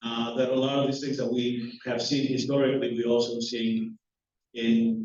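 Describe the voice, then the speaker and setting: A man speaks with a Greek accent at a moderate pace. His intonation is monotone and flat. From Greece. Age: 50s. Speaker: professor. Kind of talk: lecture. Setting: hall with live audience. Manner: halting, many fillers.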